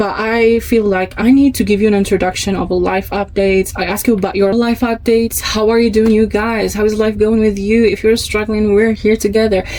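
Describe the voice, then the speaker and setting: There is noticeable background noise as a woman speaks at a fairly quick pace in a fairly high pitch. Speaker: podcast host. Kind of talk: scripted monologue. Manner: loud; animated.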